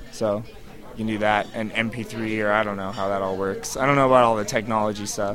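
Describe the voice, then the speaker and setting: Over music in the background, a man talks fairly quickly at a fairly low pitch with monotone, flat intonation. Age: 30s. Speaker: punk band guitarist and singer. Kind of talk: casual interview. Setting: live music venue.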